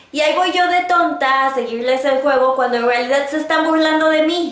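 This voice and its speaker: Noticeable background noise accompanies a woman speaking in a high pitch. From Mexico. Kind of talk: casual talk to camera.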